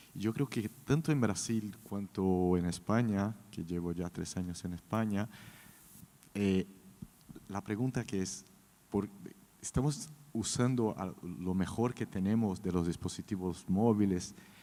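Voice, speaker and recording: Pausing long and often, a man with a Brazilian accent speaks at a fairly slow pace in a fairly low pitch, his tone dark and mellow and his pitch variation ordinary. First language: Portuguese (speaking Spanish). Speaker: creative director. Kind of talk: panel discussion.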